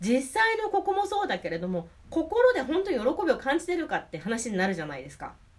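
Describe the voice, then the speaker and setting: Over noticeable background noise, a woman talks at a fairly quick pace with a high pitch, very wide pitch swings and big swings in loudness. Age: 40s. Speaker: podcast host and belly dancer. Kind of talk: solo educational talk. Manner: hesitant, many fillers.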